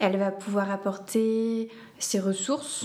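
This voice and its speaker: Her intonation stays fairly even. The voice belongs to a woman. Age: 20s. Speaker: doula and foot reflexologist. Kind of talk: interview conversation. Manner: hesitant, many fillers.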